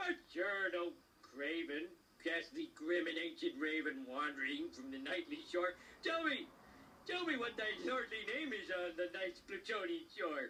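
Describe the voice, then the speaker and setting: In a cartoonish character voice, a man projects loudly at a moderate pace, pitched high with very wide swings, over clear background noise. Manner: blustering.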